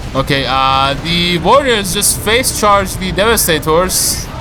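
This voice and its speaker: Lively intonation marks a man's voice, heard with audible room echo and music in the background. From Iran. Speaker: video game caster. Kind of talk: live game commentary. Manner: slight stutter, hesitant with fillers.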